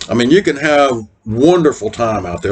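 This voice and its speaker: This is a plain, everyday voice with lively intonation at a moderate pace. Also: man. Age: 60s. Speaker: RV vlogger. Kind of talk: casual advice talk. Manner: conversational, folksy.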